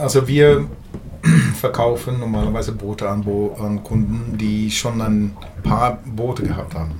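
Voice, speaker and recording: A man's fairly low voice at a fairly slow pace, with audible room echo and noticeable background noise. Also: ordinary pitch variation. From Norway. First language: Norwegian (speaking German). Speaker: boat company executive. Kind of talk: interview. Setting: on a boat in Oslo harbour. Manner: halting, with hesitations.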